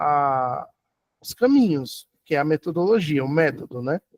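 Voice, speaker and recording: In a dry, close sound with no echo, a man speaks at a fairly slow pace, his pitch swinging very widely. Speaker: university lecturer. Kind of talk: lecture.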